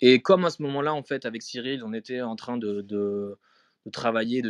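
A man with an unremarkable speaking voice, medium pitch and ordinary pitch variation, talking at a fairly quick pace over a quiet background, dry and close with no echo. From France, Strasbourg (Alsace). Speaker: photography curator. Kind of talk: casual interview. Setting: live audio chat room.

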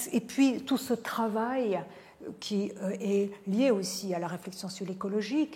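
Noticeable background noise is present throughout. Over it, a woman talks at a medium pitch. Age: 50s. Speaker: philosopher and professor. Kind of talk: interview.

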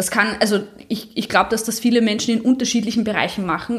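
The voice comes across as somewhat breathy. Its pace is fairly quick. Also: woman. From Austria, Graz. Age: 30s. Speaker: powerlifter. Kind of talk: interview.

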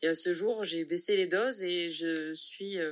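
A woman's fairly low pitch with ordinary pitch variation. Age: 30s. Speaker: patient sharing testimony. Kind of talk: testimony.

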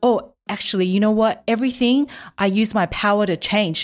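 A woman with an unremarkable speaking voice talks at a moderate pace. Her pitch is fairly high, with ordinary pitch variation. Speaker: podcast host. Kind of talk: casual chat about anime.

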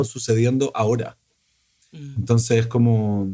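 The man's voice has a dark, mellow tone. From Chile. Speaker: film director. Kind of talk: casual conversation.

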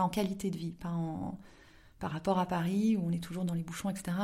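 A woman with a dark, mellow tone talks at a fairly quick pace in a medium pitch, somewhat breathy and in a monotone, flat intonation. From southern France (Aix-en-Provence). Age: 30s. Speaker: novelist. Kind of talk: interview. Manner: hesitant, many fillers.

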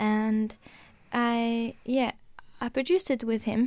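With a Norwegian accent, a woman speaks at a fairly high pitch with fairly even intonation, on a very clean recording with a silent background. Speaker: musician. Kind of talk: casual interview.

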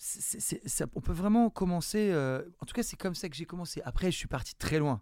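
The voice has a dark, mellow tone and hardly any pauses. It is a very clean recording with a silent background. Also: man, high pitch for a man, lively intonation, moderate pace, big swings in loudness. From southern France (Nice, Marseille area). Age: 40s. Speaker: art school director and street art gallery founder. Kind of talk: interview. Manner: halting, with frequent repetitions.

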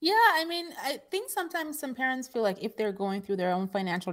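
Intonation lively, the woman delivers her words at a very fast pace. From Nigeria. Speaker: personal finance expert. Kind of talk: interview.

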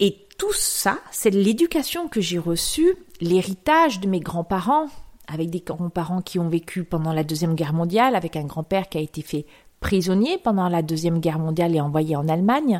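At a moderate pace and fairly low pitch, a woman talks on a very clean recording with a silent background. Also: ordinary pitch variation. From rural France. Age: 50s. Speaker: yoga podcast host. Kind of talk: solo reflective monologue. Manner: hesitant.

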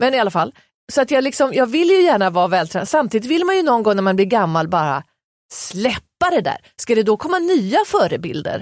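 Her fairly high pitch makes very wide swings as this woman speaks at a fairly quick pace in an animated tone with very even loudness. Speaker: podcast co-host. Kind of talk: casual chat.

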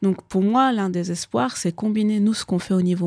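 On a very clean recording with a silent background and a dry, close sound with no echo, a woman speaks in a medium-pitched, somewhat breathy voice with a dark, mellow tone. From Afghanistan (Kabul). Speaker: neurobiologist. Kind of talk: interview. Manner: hesitant, many fillers and repetitions.

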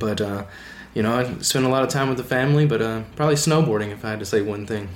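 A man's medium-pitched voice with an Alabama accent and ordinary pitch variation, set in audible room echo. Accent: Southern US (Alabama). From US South, Alabama. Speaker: epoxy floor installer. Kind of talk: casual interview.

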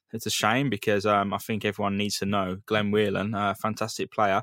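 A man with a fairly low pitch speaks at a fairly quick pace. The recording is very clean, with a silent background. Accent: English. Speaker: football podcast host. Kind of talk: casual chat.

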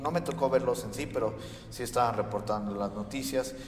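A man talks at a medium pitch. Audible room echo and noticeable background noise surround his voice. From United States. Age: young. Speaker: podcast co-host. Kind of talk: casual chat.

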